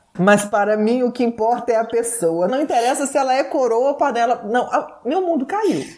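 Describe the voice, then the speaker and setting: Over noticeable background noise, a woman speaks at a moderate pace in a high voice, her intonation lively and her loudness very even. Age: 40s. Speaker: TV presenter. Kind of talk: casual chat.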